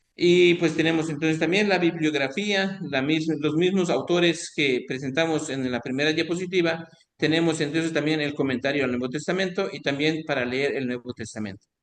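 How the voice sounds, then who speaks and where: A man with a plain, everyday voice speaks at a fairly high pitch with ordinary pitch variation and hardly any pauses. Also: moderate pace. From Mexico, Quintana Roo. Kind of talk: online lecture.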